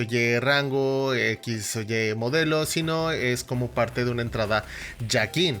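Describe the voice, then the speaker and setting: With music playing in the background, a man talks using ordinary pitch variation. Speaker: YouTuber and streamer. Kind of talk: tutorial. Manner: diaphragm-supported, voice-actor style delivery.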